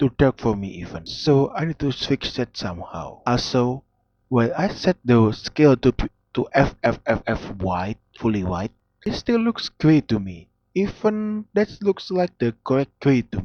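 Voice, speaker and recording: At a fairly slow pace, a man speaks at medium pitch with very wide pitch swings. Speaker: 3D modeling hobbyist. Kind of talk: tutorial-style narration. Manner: casual.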